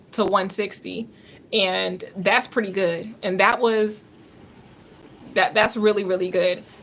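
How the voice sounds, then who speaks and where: In a Georgia accent, the speaker moves at a fairly slow pace with monotone, flat intonation. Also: woman. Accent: Georgia Southern. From US South, Georgia. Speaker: nurse and health coach livestreamer. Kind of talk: live-stream Q&A chat.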